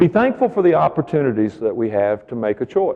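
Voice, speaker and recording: At a fairly quick pace, a man uses an ordinary speaking voice at a medium pitch. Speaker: professional keynote speaker. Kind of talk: motivational keynote speech to an audience.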